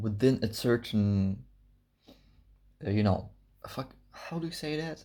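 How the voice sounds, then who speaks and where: With a non-native accent, a man speaks at a fairly slow pace in a medium pitch with ordinary pitch variation. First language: not English. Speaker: fitness vlogger. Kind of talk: casual vlog monologue. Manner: halting, searching for words.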